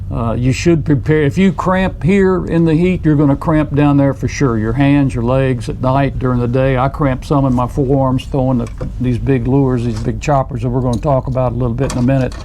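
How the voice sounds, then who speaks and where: Noticeable background noise sits behind a man of medium pitch with ordinary pitch variation. He speaks with hardly any pauses. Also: fairly quick pace. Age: 70s. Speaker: angler. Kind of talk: casual chat.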